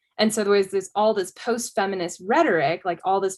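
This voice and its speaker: A woman talks at a fairly quick pace in an ordinary speaking voice. Her pitch is medium, with ordinary pitch variation. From Colorado, US. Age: 20s. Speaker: feminist advocate interviewee. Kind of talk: interview. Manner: casual, many fillers.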